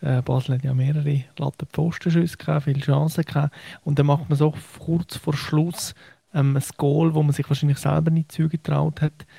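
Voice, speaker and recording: A man speaks in a dark, mellow tone that is somewhat breathy, with flat, monotone intonation and very even loudness. His moderate pace comes through dry and close, with no echo. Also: fairly high pitch for a man. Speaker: football journalist. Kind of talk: casual chat. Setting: radio studio, remote.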